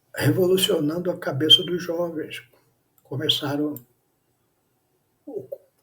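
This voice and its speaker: A man with a high pitch speaks at a fairly slow pace, leaving long, frequent pauses. His tone is bright and sharp. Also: fairly even intonation. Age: 70s. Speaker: pastor. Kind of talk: sermon.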